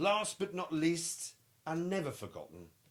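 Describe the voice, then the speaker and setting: A man with a British accent at a moderate pace. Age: middle-aged. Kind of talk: children's picture book read-aloud.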